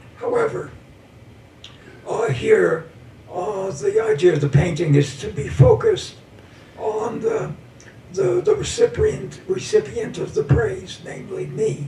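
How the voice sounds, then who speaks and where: A man talks at a fairly slow pace with long, frequent pauses. Noticeable background noise runs underneath. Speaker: painter. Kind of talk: talk about own artwork. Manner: halting, many fillers.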